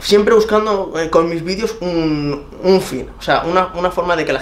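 Light background noise runs under a man speaking at a moderate pace. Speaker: interviewee. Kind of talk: interview answer. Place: home room.

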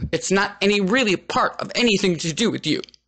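In a raised, projected voice, a man talks at a high pitch. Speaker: writer reading own article. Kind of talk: humorous reading of own written piece.

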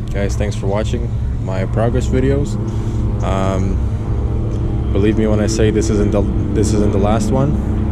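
A man speaks at a fairly slow pace, with long, frequent pauses. Loud background noise surrounds his dry sound, which has no echo. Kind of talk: casual vlog chat. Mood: proud and pleased. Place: open country. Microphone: phone near.

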